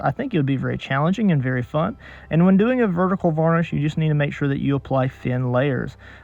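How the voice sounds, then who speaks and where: This man's voice sits fairly high for a man and shows ordinary pitch variation. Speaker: painter. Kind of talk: tutorial. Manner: fast; halting.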